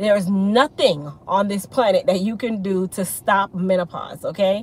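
Ordinary pitch variation comes through in a dry sound with no echo. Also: woman, moderate pace. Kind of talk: live stream talk. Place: car. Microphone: phone near.

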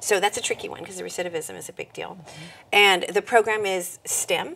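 There is light background noise behind the speaker. A woman talks at a moderate pace. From California, Monterey County; California. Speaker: nonprofit executive; interview guest. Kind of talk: interview. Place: studio.

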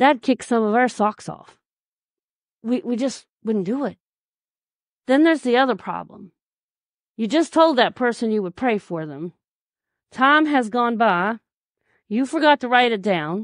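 Against a quiet background with a dry, close sound and no echo, a woman speaks at a fairly slow pace and fairly high pitch, using lively intonation and long, frequent pauses.

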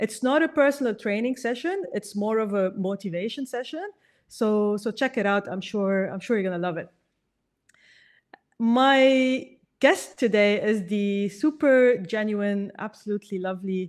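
A woman talks at a moderate pace, her pitch varying in an ordinary way, with quiet all around. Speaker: podcast host. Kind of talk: podcast intro and sponsor read. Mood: warm, cheerful. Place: home room. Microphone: studio mic.

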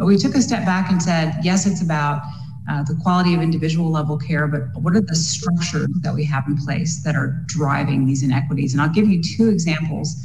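A woman's very deep, low voice at a fairly quick pace, with ordinary pitch variation and audible room echo. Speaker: physician. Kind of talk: panel discussion. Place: home room. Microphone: webcam.

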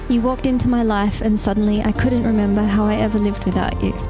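Clear music plays behind a woman speaking at a moderate pace. Her intonation is monotone and flat. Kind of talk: reading wedding vows. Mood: emotional, tender. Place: garden. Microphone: handheld.

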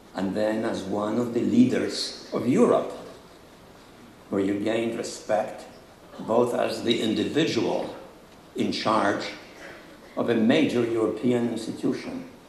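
A man speaks at a fairly slow pace in a monotone, flat intonation, with long, frequent pauses. Audible room echo and light background noise surround him. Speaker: speaker. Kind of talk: formal speech. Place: stage. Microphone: podium.

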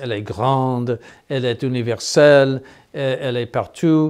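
A man with an American accent against a quiet background. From United States. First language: English (speaking French). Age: 70s. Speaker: bishop. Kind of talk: interview. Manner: halting, many hesitations. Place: office.

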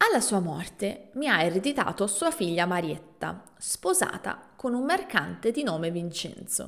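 A woman speaks fairly slowly with very wide pitch swings. She barely pauses, over a quiet background. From Italy. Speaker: language teacher podcaster; Italian language teacher. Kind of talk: storytelling narration; tutorial. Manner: clear and slow. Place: home room. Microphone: studio mic.

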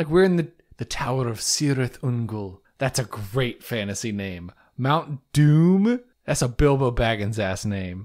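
In a plain, everyday voice, a man speaks at a fairly slow pace and medium pitch with lively intonation, on a very clean recording with a silent background. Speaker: podcaster. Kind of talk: casual chat. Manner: excitable.

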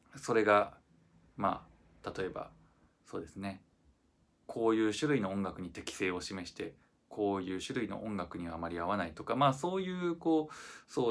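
With a relaxed tone and lively intonation, a man with a fairly low pitch speaks at a moderate pace, leaving long, frequent pauses. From Japan. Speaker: violinist. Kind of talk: casual reflective talk to camera. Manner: relaxed, hesitant with many fillers. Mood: calm, reflective. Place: empty room. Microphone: phone near.

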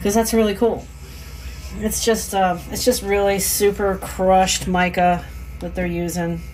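Speaking with an American accent, a woman keeps a fairly slow pace over light background noise. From Maryland. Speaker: lure painter and fishing channel host. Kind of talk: casual chat; tutorial. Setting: home workshop. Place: workshop. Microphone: phone near.

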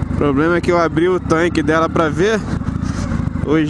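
Loud background noise sits behind a man's voice, which sounds dry with no echo. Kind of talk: casual vlog chat. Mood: relaxed, thankful. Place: motorbike.

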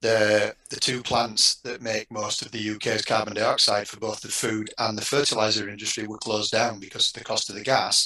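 A man with a Yorkshire accent at a moderate pace, fairly low in pitch and flat in intonation, with big swings in loudness, hardly any pauses and a quiet background. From Yorkshire, northern England. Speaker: university textile researcher and lecturer. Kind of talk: panel discussion. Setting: online video panel. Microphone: headset.

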